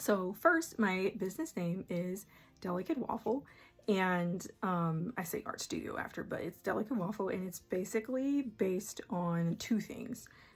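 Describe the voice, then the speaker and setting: Speaking at a fairly slow pace, a woman sounds somewhat breathy. Her medium-pitched voice has lively intonation. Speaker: artist and small business owner. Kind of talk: casual talk to camera. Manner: hesitant, many fillers.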